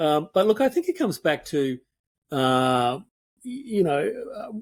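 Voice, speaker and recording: This is a man speaking with an Australian accent. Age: 60s. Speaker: architect turned speaker and painter. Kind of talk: interview conversation. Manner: halting.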